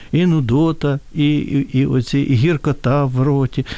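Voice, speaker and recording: Very slowly, a man speaks in a fairly high voice. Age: 60s. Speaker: hepatologist. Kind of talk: radio interview.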